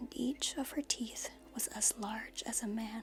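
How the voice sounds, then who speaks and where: Someone whispers in a soft-spoken way while music plays in the background. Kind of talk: soft-spoken ASMR story reading. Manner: soft-spoken, whispery.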